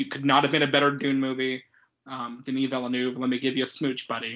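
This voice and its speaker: The man has an ordinary speaking voice at a medium pitch. He moves along at a fairly quick pace. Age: 20s. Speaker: podcast co-host. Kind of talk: casual chat.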